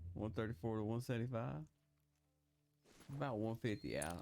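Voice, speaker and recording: A man's relaxed tone at a fairly quick pace over background music. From Texas. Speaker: gaming YouTuber. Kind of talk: casual gameplay commentary. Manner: relaxed, casual.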